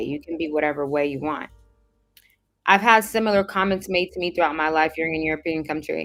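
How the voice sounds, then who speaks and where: The speaker has a Southern California accent and ordinary pitch variation. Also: woman. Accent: sounds like a Valley girl. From Caribbean. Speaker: livestream host answering viewer comments. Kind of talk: casual livestream chat reading comments.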